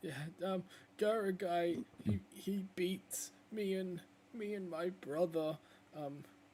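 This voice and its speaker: In a put-on character voice at a middle pitch, the speaker goes very slowly, leaving long, frequent pauses. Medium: actual play.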